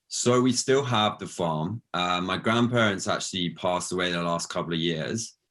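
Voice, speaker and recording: British accent at a moderate pace with hardly any pauses and ordinary pitch variation, on a very clean recording with a silent background. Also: man, very deep, low pitch for a man. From southern England, near Brighton. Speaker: founder of a plant-based food company. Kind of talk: interview. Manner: hesitant, many fillers and repeats.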